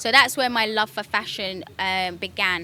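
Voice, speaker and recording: Speaking at a moderate pace, a woman has a fairly high pitch, a bright, sharp tone and fairly even intonation. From United Kingdom (Kenyan-born). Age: 30s. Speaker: fashion stylist. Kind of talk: interview testimony. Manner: hesitant, many fillers.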